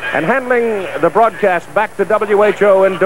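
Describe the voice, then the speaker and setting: A man speaks with lively intonation in a dry sound with no echo, against noticeable background noise. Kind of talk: pregame commentary. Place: stadium. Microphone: handheld.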